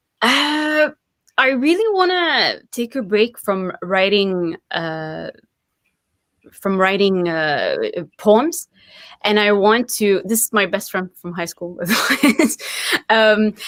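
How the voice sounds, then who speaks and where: Here a woman with a French accent and a fairly high pitch speaks at a very slow pace. Her pitch swings very widely. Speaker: poet and writer. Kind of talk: interview. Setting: live video stream.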